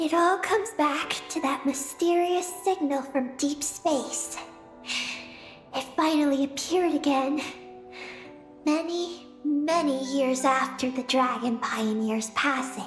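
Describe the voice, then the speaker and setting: Against clear music in the background, a female-sounding put-on character voice speaks high and at a fairly slow pace. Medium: video game. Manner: formal, measured.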